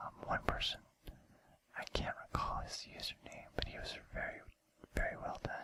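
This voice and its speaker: A man whispers at a moderate pace, pausing often and at length. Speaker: ASMR video creator. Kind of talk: casual talk to camera. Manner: whispered.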